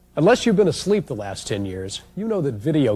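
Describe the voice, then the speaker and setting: At a very fast pace, a man speaks in a dark, mellow, somewhat breathy voice. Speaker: TV host. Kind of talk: infomercial host introduction.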